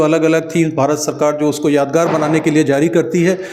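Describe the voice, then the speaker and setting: A man's fairly high voice at a moderate pace amid noticeable background noise. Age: 60s. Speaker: coin collector. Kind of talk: guided tour explanation.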